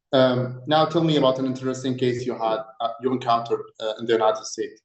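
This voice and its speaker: A man with an Arabic accent speaks at a fairly quick pace. His intonation is monotone and flat. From Egypt. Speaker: doctor, mock interviewer. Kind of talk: mock job interview.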